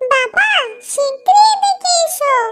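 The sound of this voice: The voice is a cartoonish character voice. It sounds squeaky. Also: woman, extremely high pitch for a woman.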